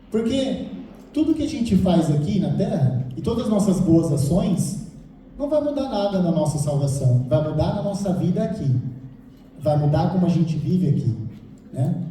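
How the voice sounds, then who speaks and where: A man with a high voice talks at a moderate pace, his pitch swinging very widely, and he pauses long and often. Noticeable background noise and audible room echo fill the recording. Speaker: lay preacher. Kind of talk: sermon.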